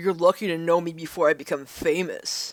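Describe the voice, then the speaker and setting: A man does a put-on character voice, pitched high. He talks at a fairly quick pace. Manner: arrogant, cocky.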